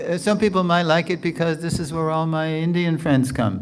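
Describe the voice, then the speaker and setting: A man with an American accent amid audible room echo. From New York area, US. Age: 70s. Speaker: spiritual teacher. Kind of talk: lecture with Q&A. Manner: conversational.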